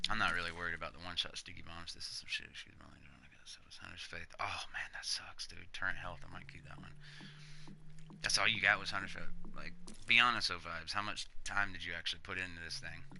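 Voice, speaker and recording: A man whispers very fast in an American accent, his loudness swinging widely. Music plays in the background, and room echo is audible. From US South, Panama City, Florida. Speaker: gaming livestreamer. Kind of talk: live gameplay stream commentary. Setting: live stream. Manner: casual, animated.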